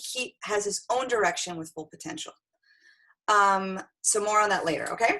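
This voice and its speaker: Here is a woman with a plain, everyday voice. Her pitch is fairly high, and she keeps a moderate pace. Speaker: dating and relationship coach. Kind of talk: online class presentation.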